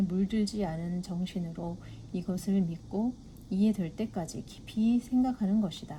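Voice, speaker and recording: Somewhat breathy and dark, mellow in tone, a woman speaks at a fairly slow pace with medium pitch. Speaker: book reader. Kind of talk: reading aloud.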